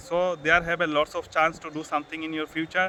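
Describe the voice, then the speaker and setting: A fairly quick, high-pitched man's voice with a non-native accent. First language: Bengali. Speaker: YouTuber, English learner. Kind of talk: motivational vlog. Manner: halting, self-correcting.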